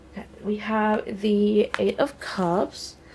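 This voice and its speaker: A woman's medium-pitched voice over noticeable background noise. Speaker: tarot reader. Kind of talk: tarot reading. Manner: slow; casual, hesitant with fillers.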